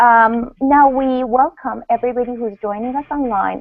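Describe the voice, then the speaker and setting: Speaking with a Russian accent, a woman uses a fairly high pitch and ordinary pitch variation. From Iran. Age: 40s. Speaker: panel moderator and author. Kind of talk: panel introduction. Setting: online video hangout.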